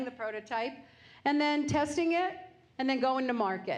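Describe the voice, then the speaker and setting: A loud woman's voice, high in pitch, at a moderate pace with ordinary pitch variation and audible room echo. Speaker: business owner. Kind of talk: lecture.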